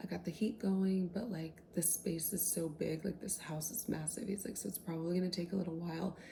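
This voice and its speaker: The speaker is soft-spoken. Words come at a fairly quick pace. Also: hardly any pauses. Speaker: book content creator. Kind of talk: casual book retelling to camera.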